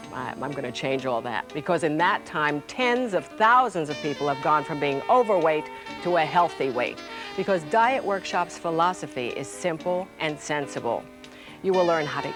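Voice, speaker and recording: With music playing in the background, a woman with a very deep, low pitch sounds upbeat and enthusiastic, using very wide pitch swings at a moderate pace. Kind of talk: TV infomercial host. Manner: upbeat, enthusiastic.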